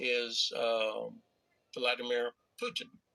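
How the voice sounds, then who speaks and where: The speaker is a man. He talks with a North Florida accent. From US South (North Florida). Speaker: Air Force veteran and YouTuber. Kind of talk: heated debate. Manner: halting.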